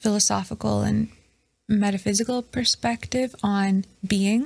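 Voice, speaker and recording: At a fairly slow pace, a woman talks in an unremarkable speaking voice at medium pitch. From Canada. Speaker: PhD student. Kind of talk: casual interview chat.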